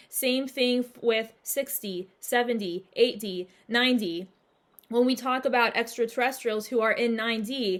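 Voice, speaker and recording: A very clean recording with a silent background of a woman with a normal speaking voice, fairly high pitch, fairly even intonation and moderate pace. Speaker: spiritual channel host. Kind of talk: monologue Q&A video. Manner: casual, filler-heavy.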